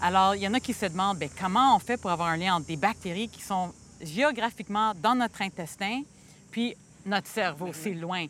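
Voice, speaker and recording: Her voice is an unremarkable speaking voice: a woman of medium pitch talking at a moderate pace with ordinary pitch variation, in a very clean recording with a silent background. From Quebec, Montreal. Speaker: physician and microbiome researcher. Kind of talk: casual scientific conversation. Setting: outdoors in a botanical garden.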